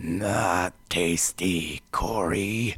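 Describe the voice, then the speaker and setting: A man puts on a character voice that is raspy and very deep, low in pitch. His intonation stays fairly even. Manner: whimpering.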